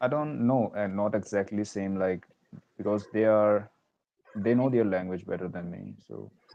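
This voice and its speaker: A speaker with an Indian accent talks at a moderate pace. The loudness rises and falls in big swings. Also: man, fairly low pitch for a man, ordinary pitch variation. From northern India. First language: Hindi. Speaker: language learner. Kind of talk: casual chat.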